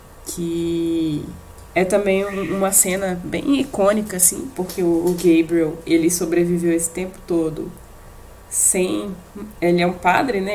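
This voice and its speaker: Fairly slow speech with ordinary pitch variation, noticeable background noise, and audible room echo. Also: woman. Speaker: podcast co-host. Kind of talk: casual chat. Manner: halting.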